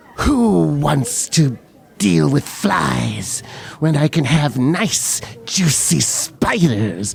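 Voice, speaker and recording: A put-on character voice sits at a low-to-middle pitch and moves at a very slow pace. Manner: manic, gleeful.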